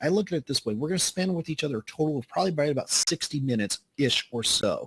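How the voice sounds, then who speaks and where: Talking at a very fast pace, a man with a fairly high voice keeps his intonation lively, and the sound is dry and close with no echo. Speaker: sales trainer and speaker. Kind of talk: webinar training. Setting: online webinar.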